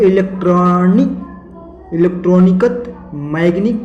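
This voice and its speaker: A man speaks with a high pitch and fairly even intonation. Noticeable background noise is present. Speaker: YouTube channel host. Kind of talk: casual talk to camera, explainer.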